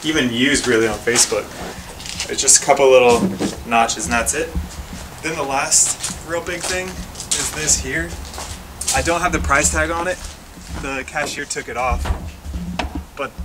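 Over noticeable background noise, a man speaks at a moderate pace, with long, frequent pauses. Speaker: house flipper vlogger. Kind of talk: casual vlog chat. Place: garage. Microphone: phone near.

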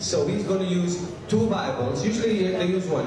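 A man talks at a moderate pace in a room with strong echo. Noticeable background noise is present. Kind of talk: assembly address. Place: hall.

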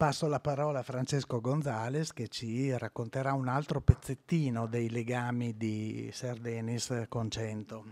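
Using fairly even intonation, a man speaks at a fairly slow pace. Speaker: museum director. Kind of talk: speech. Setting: stage with audience. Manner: halting. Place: hall. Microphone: podium.

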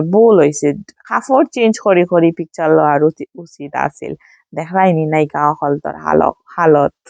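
In a Sylheti accent, a woman with a fairly low pitch talks with lively intonation, the sound dry and close with no echo. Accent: Sylheti-accented Bengali. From Sylhet, Bangladesh. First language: Sylheti (speaking Bengali). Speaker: vlogger. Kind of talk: casual vlog narration. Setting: at home with friends and children.

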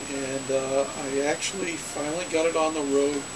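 Over noticeable background noise, a man talks fairly slowly. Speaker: hobbyist storyteller. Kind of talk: casual vlog chat. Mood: relaxed, nostalgic. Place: home room. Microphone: webcam.

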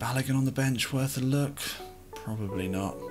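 A man talks fairly quickly with clear music playing behind him. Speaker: game streamer. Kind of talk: gaming commentary. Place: home room.

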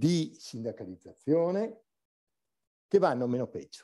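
Over a quiet background, a man with a dark, mellow tone and a fairly high pitch speaks in very wide pitch swings. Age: old. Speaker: academic labour researcher; conference panelist. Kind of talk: conference talk. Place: hall. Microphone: podium.

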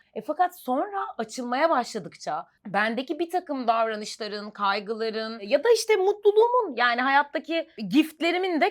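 Against noticeable background noise, a woman speaks high with very wide pitch swings. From Istanbul, Turkey. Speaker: actress. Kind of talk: casual chat.

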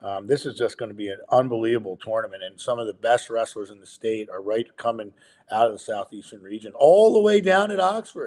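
A man speaks with big swings in loudness against a quiet background. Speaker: wrestling analyst co-host. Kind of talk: commentary. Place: home room. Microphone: video call.

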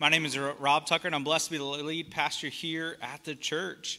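A man's bright, sharp tone at a fairly quick pace. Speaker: pastor. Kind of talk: church announcements. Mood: warm and upbeat. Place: church.

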